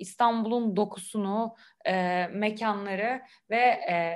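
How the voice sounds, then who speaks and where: Ordinary pitch variation in a woman's fairly high-pitched voice. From Istanbul, Turkey. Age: 20s. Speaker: French teacher, Instagram creator. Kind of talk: casual interview. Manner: hesitant, many fillers.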